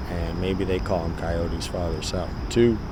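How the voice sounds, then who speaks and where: A man speaks with a very deep, low pitch. Audible room echo and noticeable background noise fill the recording. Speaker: vlogger telling a personal story. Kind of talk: casual storytelling monologue. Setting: outdoors in a park.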